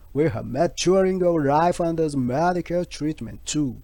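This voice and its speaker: A man speaks with a Japanese accent and a high pitch. His tone is dark and mellow. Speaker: health channel creator. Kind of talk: scripted narration. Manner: careful, halting English.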